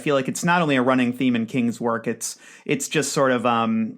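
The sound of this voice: This is read aloud in an unforced reading voice.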